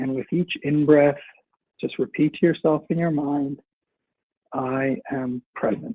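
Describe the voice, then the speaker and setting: A man talks at a fairly slow pace, with long, frequent pauses. His voice sits fairly high and shows ordinary pitch variation. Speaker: webinar coach. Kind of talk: guided breathing exercise; webinar presentation. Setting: online webinar. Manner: louder than normal.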